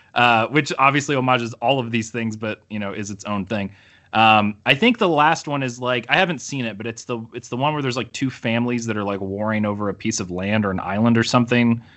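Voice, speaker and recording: A man with a Midwestern US accent talks very fast with hardly any pauses and ordinary pitch variation. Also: medium pitch for a man. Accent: US Midwest. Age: 30s. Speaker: comic book letterer and podcaster. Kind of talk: casual chat.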